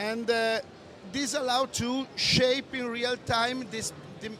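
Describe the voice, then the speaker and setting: Someone speaks very slowly in an Italian accent over noticeable background noise. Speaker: audio software developer. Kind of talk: product presentation. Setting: trade show booth. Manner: halting.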